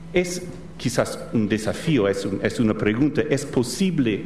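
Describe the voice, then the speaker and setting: A man with an American accent speaks at a fairly slow pace, his pitch medium and its variation ordinary. Noticeable background noise and audible room echo surround the voice. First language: English (speaking Spanish). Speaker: professor. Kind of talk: lecture. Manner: halting.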